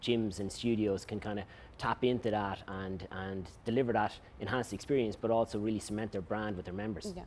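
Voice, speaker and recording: Here a man uses a normal speaking voice, fairly low in pitch with fairly even intonation. He talks at a fairly quick pace over light background noise. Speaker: guest. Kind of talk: interview answer. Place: studio. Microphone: lapel.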